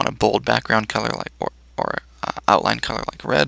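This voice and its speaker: A man talks at a fairly quick pace. The sound is dry and close with no echo, with noticeable background noise. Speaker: teacher. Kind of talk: tutorial. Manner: fast.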